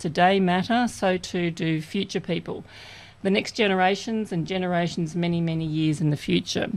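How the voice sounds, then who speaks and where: In an Australian accent, the speaker uses lively intonation at a moderate pace, captured on a very clean recording with a silent background. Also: woman. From Australia, far south coast of New South Wales. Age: 50s. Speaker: community radio co-host. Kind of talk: personal introduction on community radio.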